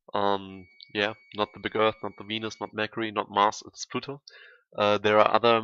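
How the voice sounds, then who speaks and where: The speaker has a German accent and talks at a moderate pace against a quiet background. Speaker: gaming YouTuber. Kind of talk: gameplay tutorial commentary. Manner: halting, many fillers.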